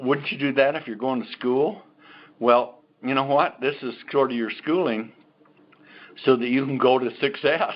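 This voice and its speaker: A medium-pitched male voice at a moderate pace, with ordinary pitch variation and long, frequent pauses. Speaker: company executive presenting health products. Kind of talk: sales pitch. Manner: animated.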